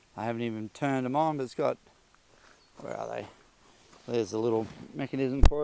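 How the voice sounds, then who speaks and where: The speaker is a man. He has an Australian accent. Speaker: motorcycle vlogger. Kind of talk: casual product review. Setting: shed. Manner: hesitant, many fillers.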